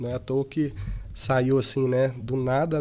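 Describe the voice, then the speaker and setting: With a normal speaking voice, a man talks at a medium pitch and a fairly slow pace, his intonation fairly even. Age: 20s. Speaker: company director. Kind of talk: interview.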